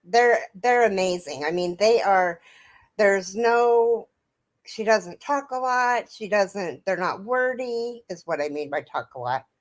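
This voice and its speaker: At a fairly slow pace, a normal speaking voice moves with lively intonation in a very clean recording against a silent background. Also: woman, medium pitch for a woman. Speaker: crochet livestreamer. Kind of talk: casual chat.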